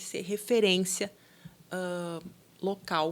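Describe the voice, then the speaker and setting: Someone speaks at a very slow pace in a southern Brazilian accent. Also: woman. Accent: gaúcho (southern Brazilian). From southern Brazil (Rio Grande do Sul). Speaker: business owner, franchise founder. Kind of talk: podcast interview. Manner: conversational, with fillers.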